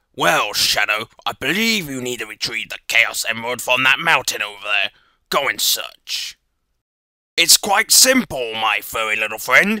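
A man uses a put-on character voice at medium pitch with lively intonation. He keeps a moderate pace in a dry, close sound with no echo. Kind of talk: voice audition. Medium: voice reel. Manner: gloating, theatrical.

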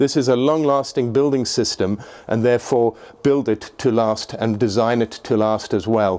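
This man has a dark, mellow tone and fairly even intonation, speaking at a moderate pace. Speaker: presenter. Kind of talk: tutorial. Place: hall. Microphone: phone near.

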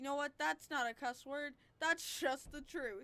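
Pitched high, a woman speaks in a raised, projected voice. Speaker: gaming youtuber. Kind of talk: gameplay commentary. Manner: animated; loud screaming at times. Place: home room.

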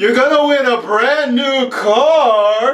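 In a put-on character voice, the high-pitched speaker talks at a very slow pace with an audible echo. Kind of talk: announcer style. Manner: excited, high-energy.

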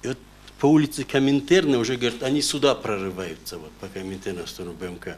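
A man talks very fast, with very wide pitch swings and big swings in loudness. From North Ossetia, Russia. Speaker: court witness, father of a hostage; witness, father of a hostage. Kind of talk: court testimony. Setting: courtroom. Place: hall. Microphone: camera far.

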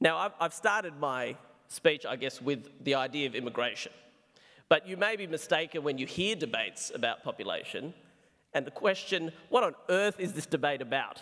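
A man with an Australian accent, fairly high-pitched with a bright, sharp tone, at a moderate pace against a quiet background. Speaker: psychiatrist; speaker. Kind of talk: debate speech; formal debate speech. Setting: stage with audience. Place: hall. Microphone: podium.

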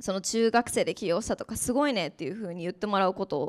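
In a quiet background, a woman talks at a fairly quick pace. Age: young. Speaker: startup founder; panelist. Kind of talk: panel discussion. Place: classroom. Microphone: handheld.

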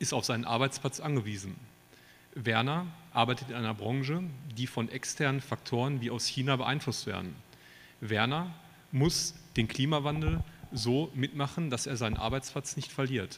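At a medium pitch with ordinary pitch variation, a man talks at a moderate pace and leaves long, frequent pauses. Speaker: politician, Bundestag candidate. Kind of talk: poetry slam speech. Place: hall. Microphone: handheld.

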